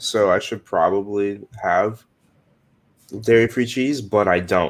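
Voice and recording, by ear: At a slow pace, a man talks at a fairly low pitch with ordinary pitch variation.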